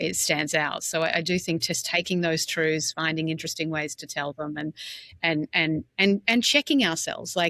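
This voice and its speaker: The voice has a bright, sharp tone and an Australian accent, recorded dry and close with no echo. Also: woman, fairly low pitch for a woman, ordinary pitch variation, moderate pace, very clean recording, silent background. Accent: Australian, retained. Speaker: brand executive. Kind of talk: casual interview. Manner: direct.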